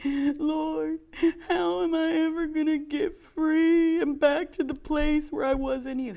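In a put-on character voice, the speaker whines at a fairly slow pace with a high pitch and a whiny tone.

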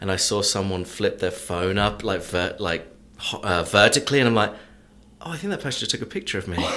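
A man with an English accent, talking at a very fast pace in a bright, sharp tone and a fairly low pitch. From England. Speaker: sports journalist and local historian. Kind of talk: storytelling interview.

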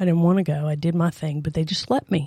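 The tone is dark and mellow. The pace runs fairly quick. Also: woman. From New Orleans. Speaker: church member. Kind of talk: testimony.

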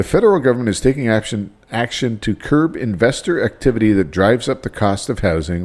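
Recorded very cleanly against a silent background, a man with an unremarkable speaking voice talks at a fairly quick pace with lively intonation. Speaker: podcast host. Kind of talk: casual podcast banter.

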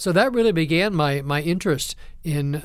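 Here a man talks with a Midwestern US accent. His voice is fairly high in pitch. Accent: US Midwest. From Ohio. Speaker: seminary professor. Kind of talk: interview.

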